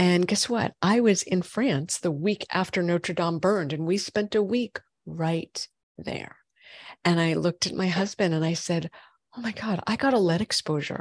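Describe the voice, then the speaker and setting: An unremarkable speaking voice from a woman, fairly low-pitched, at a moderate pace, dry and close with no echo. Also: ordinary pitch variation. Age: 40s. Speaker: functional medicine gynecologist. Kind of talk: interview.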